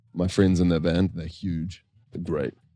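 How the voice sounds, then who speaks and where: In a New Zealand accent, a man speaks with a very deep, low pitch and a dark, mellow tone. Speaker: singer-songwriter, worship band co-founder. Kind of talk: casual interview chat. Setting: podcast recorded at a festival. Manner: animated.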